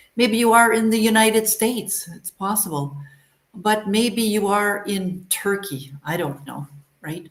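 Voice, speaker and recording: A woman with a Canadian accent speaks in a somewhat breathy voice. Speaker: English teacher. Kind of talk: live online lesson. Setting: livestream.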